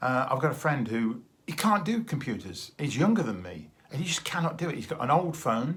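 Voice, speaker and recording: This man's voice sits fairly high and swings very widely in pitch, with a somewhat breathy quality. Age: 60s. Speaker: vlogger, retired teacher. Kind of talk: casual video diary monologue. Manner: hesitant, with fillers.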